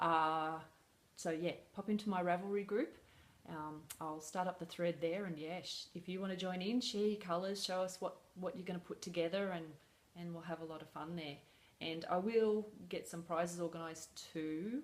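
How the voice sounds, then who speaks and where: A woman's fairly low-pitched voice with fairly even intonation. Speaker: crochet designer vlogger. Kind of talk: casual vlog. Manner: fast; hesitant, many fillers.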